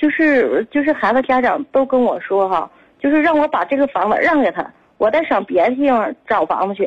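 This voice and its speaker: At a fairly quick pace, a woman talks in a high voice whose pitch swings very widely. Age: 30s. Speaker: caller, runs a Go school. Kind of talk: phone call to radio show. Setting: phone call.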